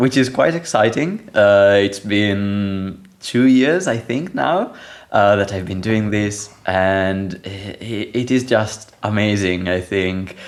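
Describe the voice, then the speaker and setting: A man with an Italian accent, fairly low in pitch, at a very slow pace, with ordinary pitch variation. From Italy. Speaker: software developer, programming language core team member. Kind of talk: podcast interview.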